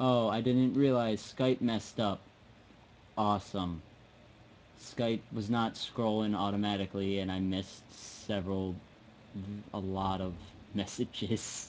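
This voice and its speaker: A man with an American accent talks fairly slowly at a fairly low pitch, with long, frequent pauses. His intonation stays fairly even. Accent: drops final g in -ing words. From US, South Jersey. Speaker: live streamer giving software tutorial. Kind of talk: tutorial. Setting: live stream from home computer. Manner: halting, many fillers.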